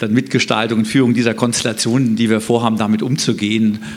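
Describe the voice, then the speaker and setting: A man with a medium pitch speaks in a monotone, flat manner. Room echo is audible, and background noise is noticeable. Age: 50s. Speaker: mayoral candidate, economist. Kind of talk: panel debate. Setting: stage with live stream.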